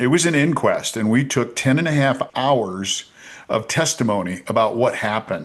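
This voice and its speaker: A man with an ordinary speaking voice talks at a medium pitch and moderate pace, his intonation lively. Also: very even loudness. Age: 60s. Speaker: politician. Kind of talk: interview.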